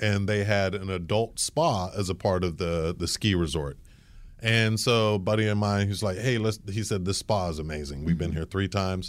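On a very clean recording with a silent background, a man with an American accent talks in a normal speaking voice at a moderate pace, with ordinary pitch variation. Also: fairly low pitch for a man. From grew up between Germany, the US and England. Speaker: marketing executive. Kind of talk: interview.

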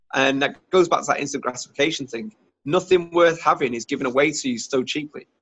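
A man with a Cheshire accent, fairly high in pitch, at a very fast pace with ordinary pitch variation. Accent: northern English (Warrington). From northern England, Warrington. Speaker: entrepreneur, YouTuber. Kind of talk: casual interview.

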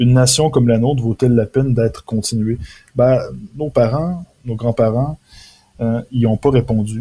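A man's medium-pitched voice at a moderate pace, with fairly even intonation, long, frequent pauses, and a dry, close sound with no echo. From Quebec, Beauce region. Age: 20s. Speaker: author. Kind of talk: interview.

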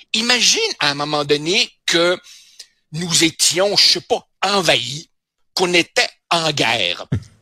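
Bright and sharp in tone, a man speaks at a high pitch and a very slow pace. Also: very clean recording, silent background. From Uruguay. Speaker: newspaper columnist and sociologist. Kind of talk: radio commentary chat. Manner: animated.

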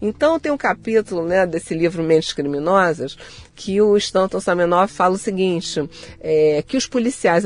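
A woman with a Rio de Janeiro accent, lively intonation, and a dry, close sound without any echo. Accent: Carioca Brazilian Portuguese. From Rio de Janeiro, Brazil. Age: 60s. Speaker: psychologist and author. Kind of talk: interview conversation.

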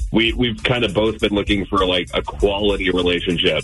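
A man talks at a fairly low pitch with lively intonation. Music plays in the background. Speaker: radio show caller. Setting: phone.

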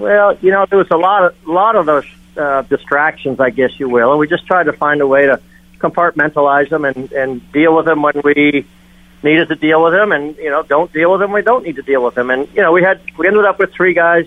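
A man speaks at a fairly quick pace in an ordinary speaking voice. His pitch is fairly high, with ordinary variation. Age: 60s. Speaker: gymnastics coach. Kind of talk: radio interview.

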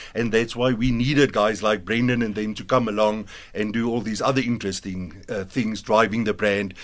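Speaking at a moderate pace with hardly any pauses, a man uses an ordinary speaking voice, a fairly low pitch and fairly even intonation. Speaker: biltong company co-founder. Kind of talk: radio business interview. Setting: studio.

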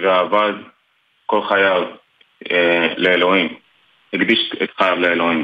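The man's intonation is monotone and flat. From Dimona, Israel. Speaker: soldier. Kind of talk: interview. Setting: phone call.

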